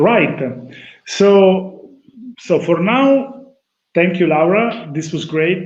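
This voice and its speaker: A man's high voice with an Italian accent, very slow, with long, frequent pauses, ordinary pitch variation and audible room echo. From Italy. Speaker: talk show host, electronics company co-founder. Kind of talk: casual chat.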